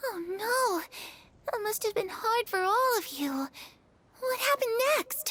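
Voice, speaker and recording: A female-sounding put-on character voice speaks at a fairly slow pace in a warm tone with an extremely high pitch. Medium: video game. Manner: soft, warm.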